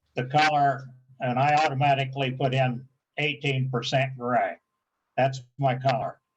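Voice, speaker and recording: A man talks at a fairly slow pace in a medium pitch, sounding somewhat breathy. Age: 80s+. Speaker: photography club presenter. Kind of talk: tutorial.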